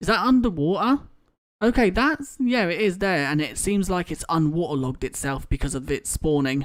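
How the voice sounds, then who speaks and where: Over a silent background on a very clean recording, a woman speaks at a moderate pace in a fairly low pitch, her voice swinging very widely. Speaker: gaming streamer. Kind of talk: live gameplay stream commentary. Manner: mumbles, many fillers; halting.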